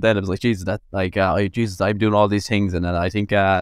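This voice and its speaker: Speaking very fast with an Irish accent, a man uses a fairly low pitch and fairly even intonation. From Ireland, Tipperary. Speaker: nutritionist and content creator. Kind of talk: casual chat.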